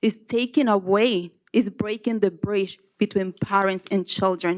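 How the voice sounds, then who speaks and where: In a Spanish accent, a woman speaks at a very slow pace and medium pitch with monotone, flat intonation. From Nicaragua. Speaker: public commenter, kindergarten teacher. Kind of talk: public comment at board meeting. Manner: halting.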